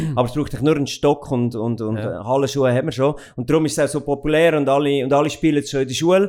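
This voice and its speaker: Very fast pacing marks this man's speech, with hardly any pauses. His pitch is fairly high, with ordinary variation. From Central Switzerland (Goldau, Schwyz). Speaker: company owner and managing director. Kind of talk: interview. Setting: office. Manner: hesitant, many fillers.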